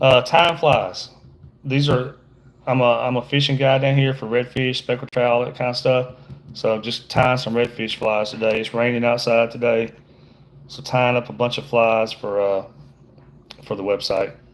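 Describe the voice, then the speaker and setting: A man with an American accent at medium pitch, moderate pace, fairly even intonation and long, frequent pauses. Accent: Southern US accent noted by viewer. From Georgia, US. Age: middle-aged. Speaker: fishing guide. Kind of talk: livestream tutorial with casual chat. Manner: casual, halting with fillers.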